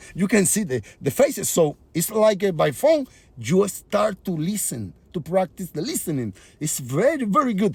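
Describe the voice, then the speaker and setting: A man speaks at a moderate pace with a Spanish accent, his pitch swinging very widely. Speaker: comedian and musician. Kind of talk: casual vlog monologue. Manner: halting.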